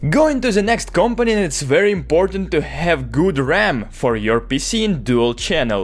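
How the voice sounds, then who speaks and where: With a Russian accent, a man speaks at a moderate pace with hardly any pauses and very even loudness. Noticeable background noise runs underneath. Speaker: tech YouTuber. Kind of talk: tutorial.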